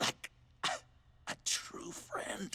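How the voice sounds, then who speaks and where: Using a put-on character voice, a man sounds raspy. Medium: video game. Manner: laughing, erratic.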